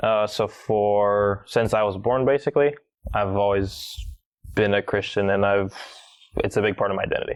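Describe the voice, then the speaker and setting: A man's fairly even speech in an American accent, with long, frequent pauses. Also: fairly low pitch for a man, moderate pace, very even loudness. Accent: American-sounding English. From Bulgaria (Sofia). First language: Bulgarian. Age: 20s. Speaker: podcast guest. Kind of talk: interview storytelling.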